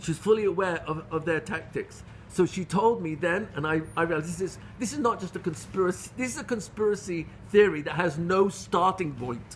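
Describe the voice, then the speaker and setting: The speaker has a British accent and a lively intonation. The pace is fairly quick. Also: man, high pitch for a man. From England (London). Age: 60s. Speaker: Torah teacher. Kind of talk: lecture. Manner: halting.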